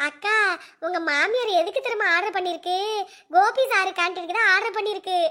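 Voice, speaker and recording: A woman puts on a squeaky, cartoonish character voice at an extremely high pitch. She keeps a moderate pace and ordinary pitch variation. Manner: chatty, giggly.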